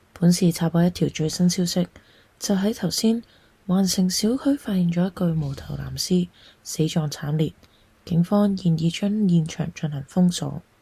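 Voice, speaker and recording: A woman with a Cantonese accent speaks in a dark, mellow tone, somewhat breathy and fairly low in pitch, with ordinary pitch variation. The recording is very clean, with a silent background. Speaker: storyteller. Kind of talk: read story narration.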